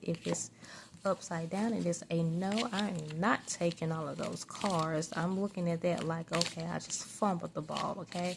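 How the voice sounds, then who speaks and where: Using a plain, everyday voice, a woman speaks at a fairly slow pace in a fairly low pitch with ordinary pitch variation. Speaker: tarot reader and psychic. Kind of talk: casual talk to camera, tarot reading. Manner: soft-spoken, conversational.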